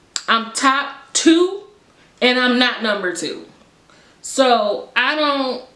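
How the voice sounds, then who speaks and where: A woman with an American accent speaks in a raised, projected voice, high-pitched with a bright, sharp tone. Her pace is very slow, broken by long, frequent pauses. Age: 20s. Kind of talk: casual story time to camera.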